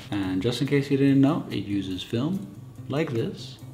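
Lively intonation comes through with music in the background. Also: man. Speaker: photographer. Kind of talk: casual talk to camera. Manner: mumbling, hesitant.

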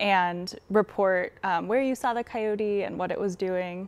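A woman speaks with an American accent. Her pitch is medium. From rural Eastern Oregon, then Bay Area from 12; Oregon. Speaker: scientist running an urban coyote project; interview guest. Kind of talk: interview. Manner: hesitant, many fillers. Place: studio. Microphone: lapel.

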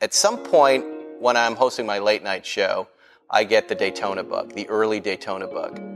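A man speaks at a moderate pace. Clear music plays in the background. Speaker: TV host. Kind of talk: interview answer. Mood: amused, storytelling. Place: garage. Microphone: lapel.

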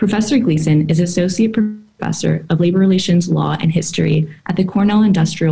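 A woman speaks at a fairly quick pace in a somewhat breathy voice. Her pitch is fairly low, with ordinary variation. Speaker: event host. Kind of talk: formal introduction. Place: home room. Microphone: webcam.

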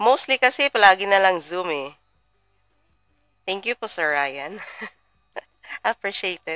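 A woman talks at a fairly slow pace with lively intonation, big swings in loudness and long, frequent pauses. The sound is dry with no echo, and faint music plays in the background. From Philippines. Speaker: trading mentor; trading mentor livestreamer. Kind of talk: live stream. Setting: livestream. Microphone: webcam.

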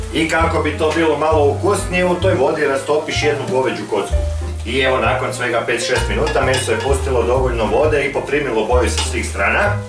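Over clear music in the background, a man talks at a fairly quick pace with very even loudness. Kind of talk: tutorial. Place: kitchen. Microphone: camera far.

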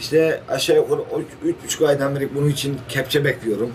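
A man talks at a fairly quick pace with a fairly high pitch. Light background noise runs under his voice. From Turkey. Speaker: village headman. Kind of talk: interview. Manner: halting, many fillers. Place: office. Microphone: camera far.

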